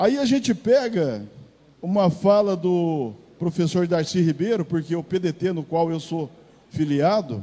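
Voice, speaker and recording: The pace is very slow. A man speaks in a dark, mellow tone. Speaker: city councillor. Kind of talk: formal political speech. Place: hall. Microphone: handheld.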